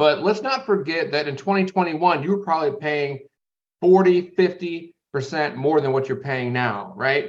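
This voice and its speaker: Using an ordinary speaking voice with lively intonation, a man speaks fairly slowly at a fairly high pitch. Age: 30s. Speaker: logistics company owner and podcast host. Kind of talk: solo business commentary podcast. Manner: casual, with filler words and repetitions.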